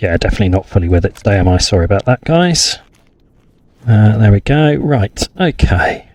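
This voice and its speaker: A man with a fairly low, somewhat breathy voice speaks at a fairly quick pace, his pitch swinging very widely while his loudness stays very even. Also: dry, close sound with no echo. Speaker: gaming youtuber. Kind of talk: let's play commentary. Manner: casual.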